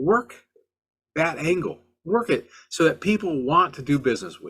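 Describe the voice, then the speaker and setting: This man talks at a moderate pace, his high-pitched voice full of lively intonation and big swings in loudness. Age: 60s. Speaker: car flipping podcast host. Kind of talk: podcast monologue. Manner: halting, frequent repetitions and fillers; animated.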